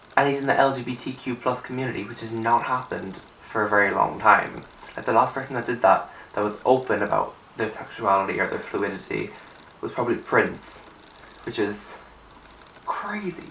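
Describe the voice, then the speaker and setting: Long, frequent pauses break up fairly quick speech with ordinary pitch variation, heard through audible room echo and noticeable background noise. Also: man, medium pitch for a man. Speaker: YouTuber music reviewer. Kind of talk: casual vlog talk. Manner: animated.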